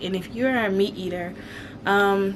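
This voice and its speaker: Speaking at a fairly slow pace, a woman keeps a medium pitch with ordinary variation. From Alabama. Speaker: homesteading vlogger. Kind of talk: casual vlog chat. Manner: conversational with frequent fillers.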